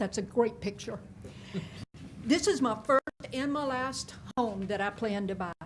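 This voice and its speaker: A woman's somewhat breathy voice, fairly high in pitch, with a Louisiana accent, ordinary pitch variation and a moderate pace. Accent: southern US (Louisiana). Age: 60s. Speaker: public commenter, retired teacher. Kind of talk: prepared public comment read from notes. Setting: public meeting.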